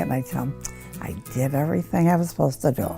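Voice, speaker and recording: With music in the background, a woman with a very deep, low pitch speaks at a fairly quick pace with lively intonation. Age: 80s+. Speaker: medication dispenser user. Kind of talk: interview answer.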